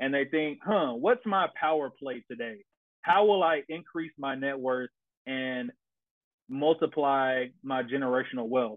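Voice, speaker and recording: A man with an American accent talks at a fairly slow pace in an ordinary speaking voice, his fairly high pitch moving with ordinary variation. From Tennessee, US South. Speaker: navy pilot and real estate investor. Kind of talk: casual chat.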